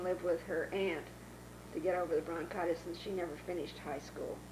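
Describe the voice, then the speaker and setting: A woman with a medium-pitched voice is heard over noticeable background noise, with audible room echo. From Northern California, Dixon. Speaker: oral history interviewee. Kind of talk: oral history interview. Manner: halting.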